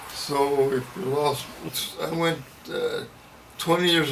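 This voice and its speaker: Fairly slow, fairly even speech from a man with an American accent, with audible room echo and noticeable background noise. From US Midwest, Iowa. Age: 90. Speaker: war veteran. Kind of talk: oral history interview.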